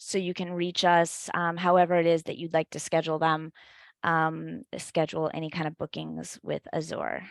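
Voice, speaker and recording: A woman with an ordinary speaking voice talks at a moderate pace and a fairly low pitch. The recording is very clean with a silent background, and the sound is dry and close with no echo. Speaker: captioning service representative. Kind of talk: product demonstration.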